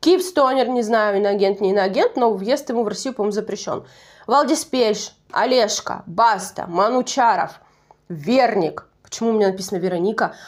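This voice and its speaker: In a very clean recording with a silent background, a woman with a Russian Far East accent and a fairly high voice talks at a moderate pace with lively intonation. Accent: Russian Far East dialect, persistent. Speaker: YouTube TV show reviewer. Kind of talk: casual video commentary. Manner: conversational, self-correcting.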